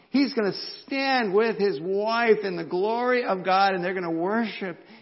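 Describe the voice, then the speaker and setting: A man with an American accent speaks in a high voice with lively intonation, and some room echo can be heard. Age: 50s. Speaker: pastor. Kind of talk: sermon. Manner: halting.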